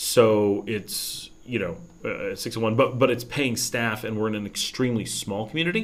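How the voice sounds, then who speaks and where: Speaking in an American accent, a man keeps a moderate pace, a medium pitch and fairly even intonation. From New York state, US. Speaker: expat YouTuber answering live chat. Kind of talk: casual livestream Q&A. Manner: hesitant, many fillers and restarts.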